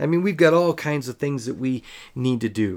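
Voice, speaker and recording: A normal speaking voice comes through in a very clean recording with a silent background. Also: man. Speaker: children's ministry podcast host. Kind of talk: podcast monologue.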